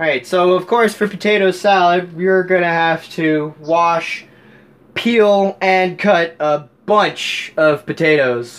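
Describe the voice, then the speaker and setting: Speaking at a very slow pace, a man uses a high pitch. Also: ordinary pitch variation. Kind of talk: tutorial. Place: kitchen. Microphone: camera far.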